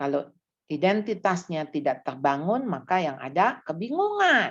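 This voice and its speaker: Over a quiet background, a woman talks at a very deep, low pitch and a fairly slow pace. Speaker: parenting seminar speaker. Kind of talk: church seminar talk.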